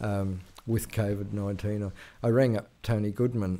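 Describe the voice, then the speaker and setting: A man's fairly low, dark, mellow voice in an Australian accent, monotone and flat, on a very clean recording with a silent background. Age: 60s. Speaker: veteran journalist. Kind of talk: interview conversation. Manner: halting, many fillers.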